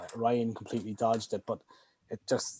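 A man with an Irish accent at a fairly quick pace. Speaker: podcast guest. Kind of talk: casual chat.

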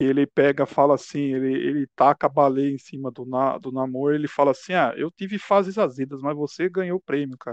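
The man has an unremarkable speaking voice, fairly high in pitch with ordinary pitch variation, moving at a fairly quick pace with hardly any pauses. The sound is dry and close with no echo over a quiet background. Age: 40s. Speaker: podcast host. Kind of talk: casual interview chat.

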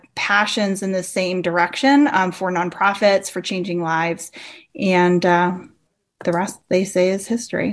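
A woman with a plain, everyday voice, medium in pitch, at a moderate pace. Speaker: church consultant. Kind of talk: casual chat.

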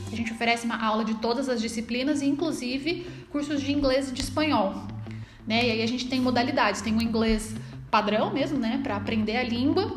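Noticeable background noise and audible room echo surround this recording. The woman speaking has a high pitch and ordinary pitch variation. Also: fairly quick pace. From Brazil, Taubaté, São Paulo state. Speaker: teacher. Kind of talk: casual interview.

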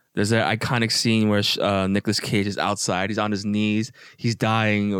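A fairly low-pitched man at a fairly quick pace, in a flat monotone. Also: very clean recording, silent background. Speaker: podcast co-host. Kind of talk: casual chat.

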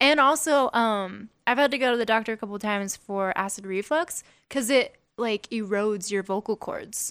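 A woman with an American accent and an unremarkable speaking voice, fairly high in pitch with ordinary pitch variation, at a moderate pace in a very clean recording with a silent background and a dry, close sound with no echo. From Las Vegas, US. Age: 20s. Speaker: singer-songwriter. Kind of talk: casual podcast interview. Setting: studio.

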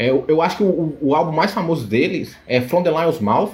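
The pace of this man's speech is fairly quick. His voice is high-pitched. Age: 20s. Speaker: card game tournament winner. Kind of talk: casual chat.

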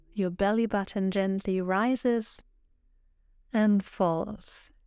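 A woman's medium-pitched voice with a dark, mellow tone and ordinary pitch variation is heard on a very clean recording with a silent background. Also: long, frequent pauses, very even loudness. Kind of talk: guided meditation. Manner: slow, soothing and calm, with long pauses between instructions; soft-spoken and gentle, even in tone.

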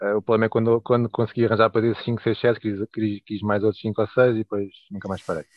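A man talks in a European Portuguese accent at a very fast pace. His fairly low voice stays monotone, with flat intonation. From Portugal (Leiria). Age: 30s. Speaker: toy collector. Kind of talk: casual chat. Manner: halting.

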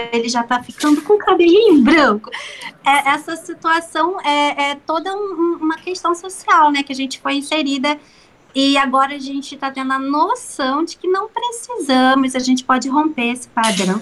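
This woman talks at a moderate pace in a high pitch, her intonation lively. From Rio de Janeiro state, Brazil (São Gonçalo). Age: 30s. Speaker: actress. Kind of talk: casual interview chat.

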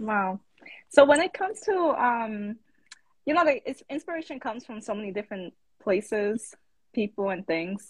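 Somewhat breathy and with an American accent, this voice moves at a moderate pace with long, frequent pauses, very wide pitch swings and big swings in loudness, in a dry, close sound with no echo. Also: woman, fairly high pitch for a woman. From the Bronx, New York. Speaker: interviewer. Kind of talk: casual interview. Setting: Instagram live video.

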